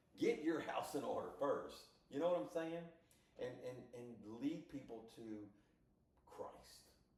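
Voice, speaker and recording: A man talks at a fairly slow pace in an animated tone, with big swings in loudness. He pauses long and often, and room echo is audible. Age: 60s. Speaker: podcast co-host. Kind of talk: casual chat.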